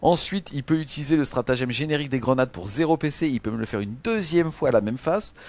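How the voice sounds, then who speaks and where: A man with a fairly high voice races along at a very fast pace, his intonation lively and hardly any pauses between words. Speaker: wargaming video co-host. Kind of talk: casual game rules review. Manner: animated.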